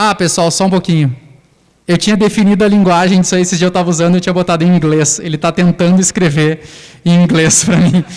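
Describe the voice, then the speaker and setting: A man with a high voice talks at a very fast pace, with very even loudness and fairly even intonation. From southern Brazil, Santa Maria (Rio Grande do Sul). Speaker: lecturer on educational technology. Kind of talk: lecture with live demonstration. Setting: lecture hall with audience. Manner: casual, conversational. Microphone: echo from microphone feedback.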